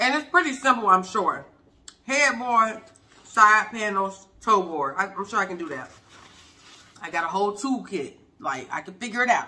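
A woman speaks at a moderate pace with long, frequent pauses. Her pitch swings very widely and her loudness shifts a great deal. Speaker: food vlogger. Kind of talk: casual vlog chat. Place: home room. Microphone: phone near.

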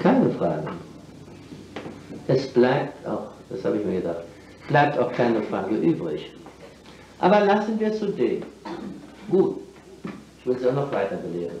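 A man talks fairly slowly with long, frequent pauses and very wide pitch swings, amid light background noise and audible room echo. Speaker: lecturer. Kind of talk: public lecture. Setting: old recording of a lecture to an audience. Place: hall. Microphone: old recording.

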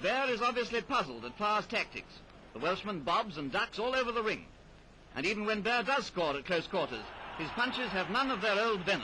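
A man speaks in a raised, projected voice at a fairly quick pace. His intonation is lively, with light background noise behind him. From England. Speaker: newsreel commentator. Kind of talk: sports newsreel commentary. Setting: vintage film soundtrack. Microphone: old recording.

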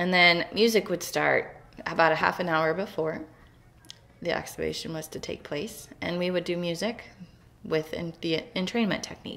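A woman's fairly low pitch and fairly even intonation at a moderate pace. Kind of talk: explanatory talk. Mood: calm, earnest. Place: home room. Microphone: webcam.

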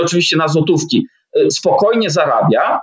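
Against a quiet background, a man talks in a high voice with very wide pitch swings. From Poland. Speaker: traveller and blogger; blogger. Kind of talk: interview. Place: home room. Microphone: webcam.

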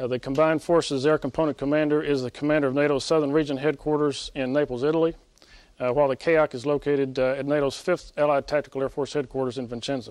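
Speaking at a very fast pace, a man uses a fairly high pitch and flat, monotone intonation. The sound is dry with no echo, and the background is quiet. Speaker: military officer. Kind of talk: press briefing. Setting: press briefing room. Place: hall. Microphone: podium.

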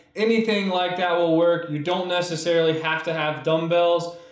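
A man with a high pitch speaks amid audible room echo. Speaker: fitness instructor. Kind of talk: workout tutorial. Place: empty room.

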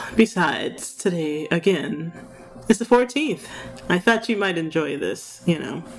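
Speech moves at a fairly slow pace. Faint music plays in the background. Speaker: virtual streamer. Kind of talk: asmr roleplay. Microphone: studio mic.

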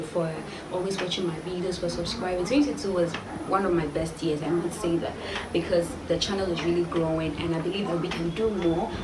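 Noticeable background noise sits behind a woman speaking at a fairly quick pace. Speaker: vlogger. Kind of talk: casual vlog chat. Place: home room. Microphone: camera far.

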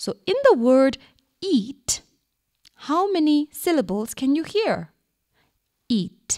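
A woman talks at a very slow pace while her pitch swings very widely. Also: dry, close sound with no echo. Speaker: primary school teacher. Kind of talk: radio lesson for children. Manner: slow, clear instructional.

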